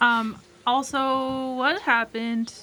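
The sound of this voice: A woman speaks at a slow pace with a fairly high pitch. Her tone is bright and sharp.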